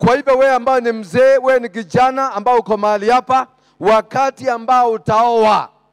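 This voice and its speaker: The man talks at a moderate pace. The background is quiet. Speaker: preacher. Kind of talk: sermon. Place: church. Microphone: handheld.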